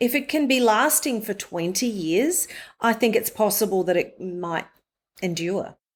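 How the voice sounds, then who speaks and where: An Australian woman in a fairly high pitch speaks fairly slowly with lively intonation, on a very clean recording with a silent background. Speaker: voice-over artist. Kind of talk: interview answer.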